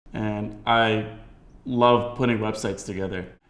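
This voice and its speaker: A man with an American accent, monotone, flat intonation, and audible room echo. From United States. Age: 20s. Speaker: entrepreneur. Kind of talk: documentary interview.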